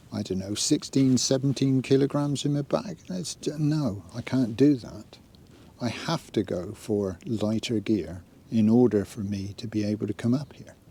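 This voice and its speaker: A man with a British accent speaks at a medium pitch. His tone is dark and mellow, and his intonation is lively. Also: moderate pace. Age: 70s. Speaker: outdoor vlogger. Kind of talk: casual vlog monologue. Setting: outdoors. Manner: relaxed.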